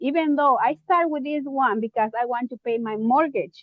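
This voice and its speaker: With a Mexican accent, a woman speaks in a high voice at a moderate pace and with ordinary pitch variation. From Mexico. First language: Spanish. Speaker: real estate investor and preschool teacher. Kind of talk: interview. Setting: live online video event. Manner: hesitant, many fillers.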